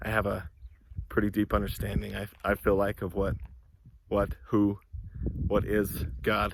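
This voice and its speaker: A man speaks in a fairly low voice with vocal fry, his intonation fairly even and his pace fairly slow, broken by long, frequent pauses. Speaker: self-help vlogger. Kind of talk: casual monologue vlog. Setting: outdoors. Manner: hesitant, many fillers; yelling affirmations, intense.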